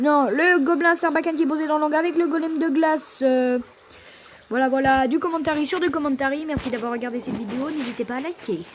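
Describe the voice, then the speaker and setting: Over noticeable background noise, a woman with a high pitch talks at a fairly quick pace with ordinary pitch variation. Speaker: gaming YouTuber. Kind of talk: live gameplay commentary. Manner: fast; animated.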